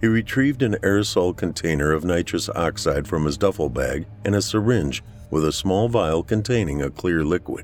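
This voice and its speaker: A man with an American accent and a very deep, low pitch speaks at a moderate pace with lively intonation. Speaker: horror fiction narrator. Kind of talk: scripted horror fiction narration, read aloud. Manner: measured, suspenseful, dramatic storytelling pace; theatrical, relishing words like 'titillate'.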